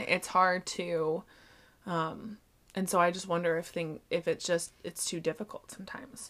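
On a very clean recording with a silent background, a woman with an ordinary speaking voice talks at a fairly slow pace and a medium pitch. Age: 20s. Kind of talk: casual chat.

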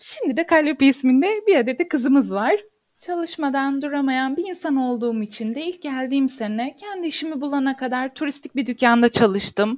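Hardly pausing, a woman speaks at a high pitch and a moderate pace with ordinary pitch variation. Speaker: architect. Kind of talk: casual interview.

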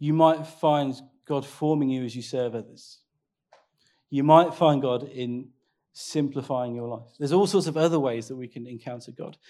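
This man's voice has a dark, mellow tone and a fairly high pitch, with ordinary pitch variation. His loudness swings widely. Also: very clean recording, silent background. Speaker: pastor. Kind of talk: sermon. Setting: church. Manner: fast.

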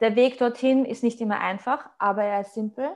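Fairly high in pitch, a woman talks at a fairly slow pace with fairly even intonation. The recording is very clean, with a silent background. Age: 30s. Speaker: online fitness coach and bodybuilder. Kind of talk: casual interview chat.

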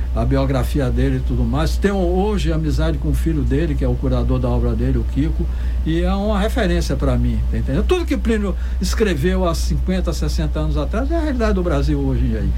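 A man's very deep, low voice in a monotone, flat delivery at a fairly quick pace, very even in loudness, with audible room echo and noticeable background noise. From Salvador, Bahia, Brazil. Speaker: founder of an arts and percussion project. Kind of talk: radio interview.

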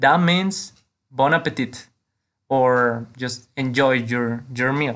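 A man's medium-pitched voice with a Mexican accent, very slow, with ordinary pitch variation and a quiet background. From Mexico. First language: Spanish. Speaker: language teacher podcaster. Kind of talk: tutorial.

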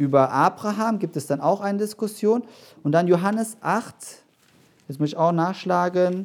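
A man with a high pitch, ordinary pitch variation, a moderate pace and long, frequent pauses, in a very clean recording with a silent background. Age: 30s. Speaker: pastor. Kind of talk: sermon. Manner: halting.

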